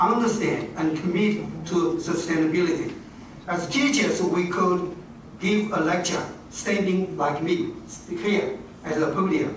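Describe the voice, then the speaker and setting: Amid noticeable background noise and audible room echo, a man with a high-pitched voice talks at a fairly slow pace. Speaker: university dean, education professor. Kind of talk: formal speech. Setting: stage at a podium with audience. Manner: halting, many fillers.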